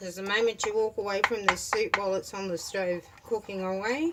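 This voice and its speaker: Over noticeable background noise, a woman talks at a fairly slow pace with very wide pitch swings. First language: Turkish. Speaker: home cook. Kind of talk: cooking tutorial. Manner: casual, conversational.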